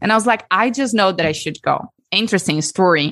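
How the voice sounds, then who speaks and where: Against a quiet background, a woman with a Brazilian accent talks at a fairly quick pace. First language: Portuguese. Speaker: breathwork facilitator. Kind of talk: interview and guided breathwork session.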